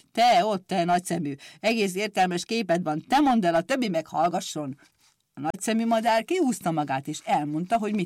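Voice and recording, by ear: The background is quiet as a natural voice reads aloud with lively intonation.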